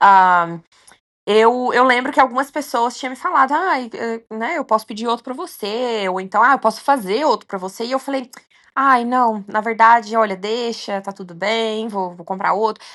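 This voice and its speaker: The speech moves at a moderate pace with ordinary pitch variation. Loudness rises and falls in big swings. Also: woman, fairly high pitch for a woman. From Minas Gerais, Brazil. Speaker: long-distance hiker. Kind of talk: interview. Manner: hesitant, many fillers.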